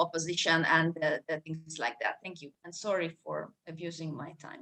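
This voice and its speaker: This woman speaks with a Hungarian accent. Her pace is moderate. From Hungary. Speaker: law professor. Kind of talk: academic panel discussion. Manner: halting, many repetitions.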